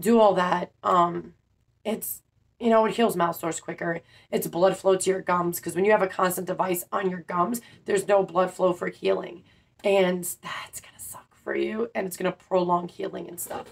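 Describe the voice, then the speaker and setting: Her voice has vocal fry and a monotone, flat intonation. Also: moderate pace. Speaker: denture wearer vlogger. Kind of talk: casual vlog advice. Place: home room. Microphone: phone near.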